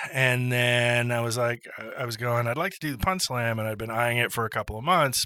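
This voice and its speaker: Ordinary pitch variation and a fairly quick pace over noticeable background noise. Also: man, medium pitch for a man. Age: 50s. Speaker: improv comedian and retired teacher. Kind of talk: casual interview chat.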